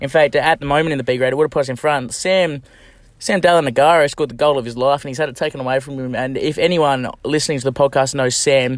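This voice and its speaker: A man speaks very fast with an Australian accent. His pitch is fairly high and his intonation fairly even. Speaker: football club podcast co-host. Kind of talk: casual podcast chat.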